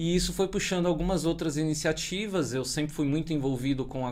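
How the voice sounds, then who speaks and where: A man talks in a normal speaking voice at a fairly high pitch. He moves at a fairly quick pace with ordinary pitch variation. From Brazil, São Paulo. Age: 40s. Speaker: tech community organizer and podcaster. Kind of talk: podcast interview.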